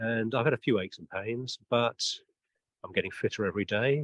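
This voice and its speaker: The speaker has a British accent and a fairly quick pace. The sound is dry and close, with no echo. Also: man. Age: 60s. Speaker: interviewer, charity walker. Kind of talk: interview. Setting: outdoors.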